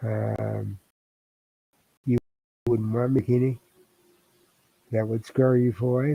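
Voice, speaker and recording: A soft-spoken man with a dark, mellow tone talks at a very slow pace and medium pitch, his delivery monotone and flat, broken by long, frequent pauses, in a dry, close sound with no echo. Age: 60s. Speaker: writer and live streamer. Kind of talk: casual live stream talk. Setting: home desk, live streaming.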